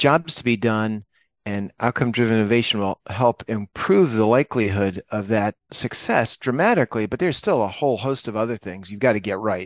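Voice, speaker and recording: Over a quiet background, a man talks in an unremarkable speaking voice at medium pitch and a fairly quick pace. Pitch variation is ordinary, and the sound is dry and close with no echo. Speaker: business consultant executive. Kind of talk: podcast interview.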